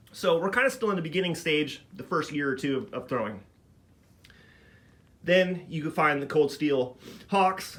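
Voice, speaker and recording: Man with a bright, sharp, relaxed tone, lively intonation and a moderate pace. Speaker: knife thrower. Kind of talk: casual talk to camera. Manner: casual, relaxed.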